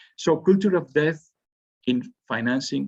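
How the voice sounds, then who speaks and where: In a Spanish accent, a man with vocal fry speaks at a moderate pace. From Spain. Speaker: university professor. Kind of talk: lecture. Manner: halting.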